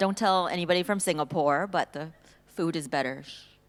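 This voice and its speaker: An ordinary speaking voice from a woman with an American accent, fairly low in pitch, with ordinary pitch variation, in a very clean recording with a silent background. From US, Silicon Valley, California. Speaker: panelist. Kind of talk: panel discussion.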